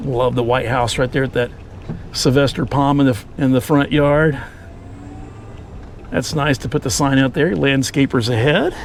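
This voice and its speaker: A man talks at a moderate pace and medium pitch, with fairly even intonation. Long pauses come often, and background noise is noticeable. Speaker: YouTube vlogger. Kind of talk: casual vlog narration while driving. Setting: outdoors in a golf cart.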